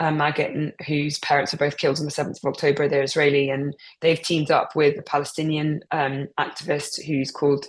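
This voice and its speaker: A woman speaks at a fairly quick pace with hardly any pauses. Her very deep, low voice is monotone and flat. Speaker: international news correspondent. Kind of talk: online group discussion. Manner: fast; hesitant, many fillers.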